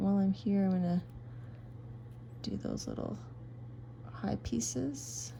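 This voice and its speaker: Soft-spoken and with lively intonation, a woman talks over noticeable background noise. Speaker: craft video creator. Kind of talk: tutorial. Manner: slow.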